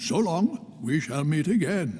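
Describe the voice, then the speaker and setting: A man does a put-on character voice at a fairly high pitch, with clear background noise behind him. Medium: video game. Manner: formal, measured.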